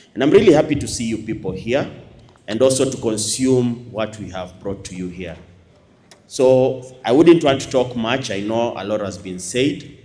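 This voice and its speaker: At a moderate pace, a man talks at a medium pitch with ordinary pitch variation, and the room echo is audible. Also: big swings in loudness. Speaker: university lecturer and academy principal. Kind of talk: closing speech to audience. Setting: stage with audience. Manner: loud; animated.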